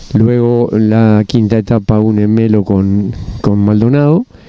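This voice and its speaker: A man speaks at a very slow pace. The sound is dry, with no echo. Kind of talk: interview answer. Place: street. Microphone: handheld.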